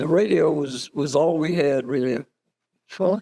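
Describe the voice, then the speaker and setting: In a North Carolina accent, a man speaks very slowly in a dark, mellow tone, his fairly high pitch showing ordinary variation, with a dry, close sound and no echo. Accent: Southern US, North Carolina. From Moore County, North Carolina. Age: 80s+. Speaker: Army reserves veteran. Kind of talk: interview answer. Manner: hesitant, slow, with fillers.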